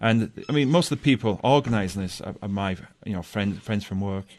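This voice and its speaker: Against a quiet background, a man speaks in a fairly low pitch with a strong English accent. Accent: thick British (English). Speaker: science teacher. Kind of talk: radio interview. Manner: halting, repeats words.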